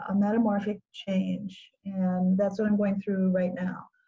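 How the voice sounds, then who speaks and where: A woman's medium-pitched voice with a dark, mellow tone, somewhat breathy. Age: 70s. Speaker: grant writing consultant. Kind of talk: interview.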